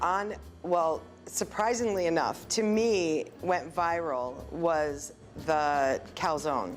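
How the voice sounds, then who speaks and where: A woman with a fairly low pitch talks while music plays behind her. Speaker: restaurant owner. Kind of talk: interview answer.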